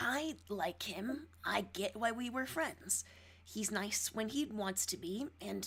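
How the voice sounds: A natural reading voice, nothing more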